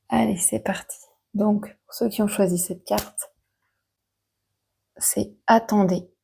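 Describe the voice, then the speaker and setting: Soft-spoken and medium-pitched, a woman with vocal fry and a dark, mellow tone shows ordinary pitch variation, big swings in loudness, and long, frequent pauses. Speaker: oracle card reader. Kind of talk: card reading guidance. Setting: room at a fasting retreat.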